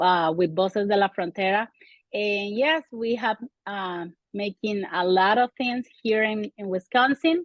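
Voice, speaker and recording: A woman in a Venezuelan accent speaks at a fairly slow pace with medium pitch and ordinary pitch variation. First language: Spanish. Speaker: community organizer. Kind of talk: interview.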